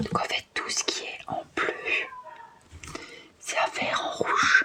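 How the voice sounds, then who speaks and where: Someone whispers at a very slow pace in a gentle, relaxed tone, with noticeable background noise behind. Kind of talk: ASMR cross-stitch relaxation video, casual talk to camera. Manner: soft, gentle, relaxed.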